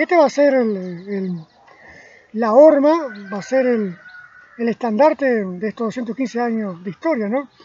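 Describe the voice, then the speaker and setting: With a Uruguayan accent, a man speaks at an extremely high pitch and fairly slow pace, his intonation lively, with long, frequent pauses. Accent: Rioplatense Spanish (Uruguayan). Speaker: amateur history lecturer. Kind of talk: spoken history lecture from memory. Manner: slow, deliberate; halting, repeats words.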